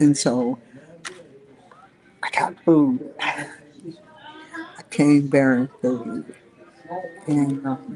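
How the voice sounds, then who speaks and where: A woman speaks quietly in a very deep, low voice with ordinary pitch variation and long, frequent pauses. Noticeable background noise is present. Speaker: online talk show host. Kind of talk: casual vlog monologue. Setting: fast food restaurant. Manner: quiet, using inside voice; filler-heavy, rambling.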